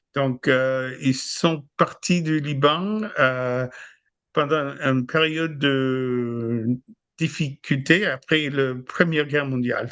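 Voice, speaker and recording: A man's very slow speech over a quiet background. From US, Buffalo, New York. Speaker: podcast guest, host's husband. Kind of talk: casual chat. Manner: halting, many hesitations.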